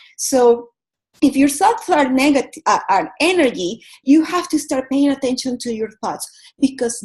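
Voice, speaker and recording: In a Venezuelan accent, a woman speaks at a high pitch and a fairly slow pace with lively intonation. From Venezuela, Caracas. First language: Spanish. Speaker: yoga teacher and wellness coach. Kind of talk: motivational talk.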